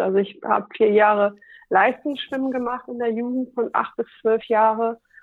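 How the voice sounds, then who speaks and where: Here is a woman with a normal speaking voice and fairly high pitch. She speaks at a moderate pace with ordinary pitch variation. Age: 40s. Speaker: radio worker and stand-up paddling athlete. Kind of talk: casual interview.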